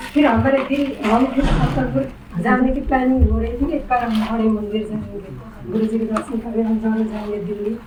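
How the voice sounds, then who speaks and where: Over noticeable background noise, a woman speaks with hardly any pauses, at a fairly high pitch with ordinary pitch variation. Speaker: mother. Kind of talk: personal testimony.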